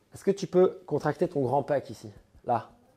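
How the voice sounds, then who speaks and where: A man talks with lively intonation and a fairly high pitch. His tone is dark and mellow. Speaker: CrossFit coach. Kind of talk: coaching session. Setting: gym.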